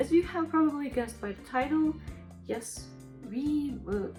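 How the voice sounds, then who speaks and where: At a moderate pace, the talking continues with music in the background. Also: woman. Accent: non-native. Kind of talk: casual house tour talk to camera. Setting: home recording with sound issues.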